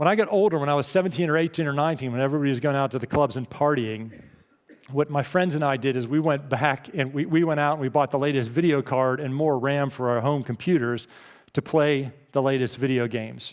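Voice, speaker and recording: A man with a fairly high pitch races along at a very fast pace, using ordinary pitch variation. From US, Pittsburgh, Pennsylvania. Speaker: keynote speaker. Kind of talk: keynote speech. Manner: animated.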